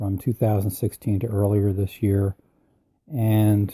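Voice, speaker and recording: In a very clean recording with a silent background and a dry, close sound with no echo, a man speaks at a fairly slow pace in a dark, mellow, somewhat breathy tone. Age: 70s. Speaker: personal growth podcaster. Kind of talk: motivational podcast talk.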